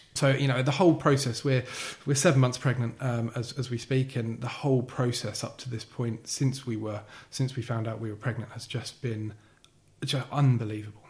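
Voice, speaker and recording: At a moderate pace, a man talks with a medium pitch, a somewhat breathy quality and fairly even intonation. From Essex, England (Billericay). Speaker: podcast guest with a heart condition. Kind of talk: casual interview. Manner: halting, many repetitions and fillers.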